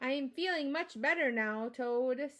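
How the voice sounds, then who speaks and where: A woman performs a put-on character voice pitched high. She keeps a moderate pace. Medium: read story.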